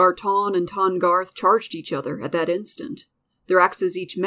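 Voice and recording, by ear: A passage is read aloud in a natural voice. Behind it, there is quiet.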